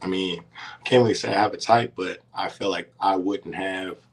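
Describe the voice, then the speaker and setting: A man's fairly low voice at a fairly quick pace with fairly even intonation, over noticeable background noise. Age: 30s. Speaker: reality TV contestant and college basketball coach. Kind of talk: casual interview.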